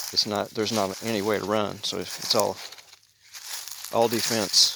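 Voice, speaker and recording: A man's fairly low, monotone, flat voice at a moderate pace, with noticeable background noise. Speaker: prepper vlogger. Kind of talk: casual vlog monologue. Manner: soft-spoken.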